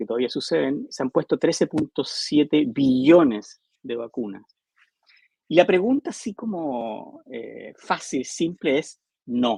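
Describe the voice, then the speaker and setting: Dark and mellow in tone, the voice moves at a fairly slow pace with lively intonation and big swings in loudness, the sound dry and close with no echo. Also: man, fairly high pitch for a man. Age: 60s. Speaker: psychologist and public health academic. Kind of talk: interview. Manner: halting, many false starts.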